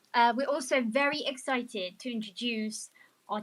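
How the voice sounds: A woman speaks at a fairly slow pace with a fairly high pitch. Her tone is fairly bright, and her pitch varies in an ordinary way.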